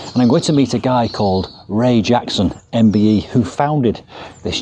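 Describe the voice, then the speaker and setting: With noticeable background noise, a man speaks at a medium pitch with lively intonation. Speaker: gardening youtuber. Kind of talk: interview. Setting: wildlife hospital hedgehog room. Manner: quiet.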